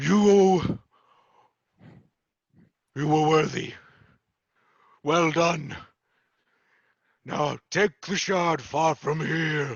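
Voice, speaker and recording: A booming put-on character voice at a very slow pace, with fairly even intonation and long, frequent pauses. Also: man, fairly high pitch for a man. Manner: commanding, approving.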